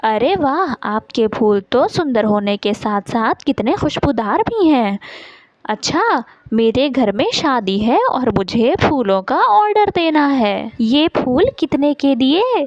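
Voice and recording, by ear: Using a put-on character voice, a woman speaks slowly in a high pitch with big pitch swings, the sound dry and close with no echo.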